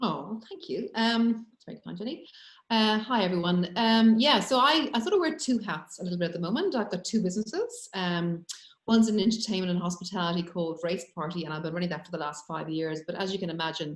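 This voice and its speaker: A woman speaks at a very fast pace in an Irish accent. Her voice is somewhat breathy, with lively intonation. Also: medium pitch for a woman, big swings in loudness. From Ireland. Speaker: business owner. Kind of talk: panel discussion. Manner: halting, many fillers.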